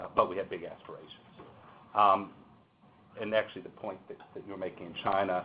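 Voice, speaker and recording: A man speaking with long, frequent pauses and big swings in loudness. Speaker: corporate lawyer. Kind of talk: panel discussion. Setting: seminar room with webinar audience. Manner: hesitant, many fillers.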